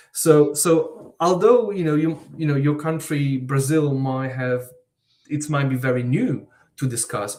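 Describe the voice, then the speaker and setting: A man with an Eastern European accent speaks at a moderate pace and fairly high pitch. His voice is somewhat breathy, with ordinary pitch variation. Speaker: university researcher. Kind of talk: panel discussion. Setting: online live event.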